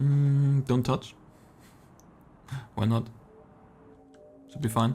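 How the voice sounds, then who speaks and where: A man's medium-pitched voice with a non-native accent, monotone and flat, at a very slow pace over background music. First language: not English. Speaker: esports caster. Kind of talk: live commentary. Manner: casual, halting.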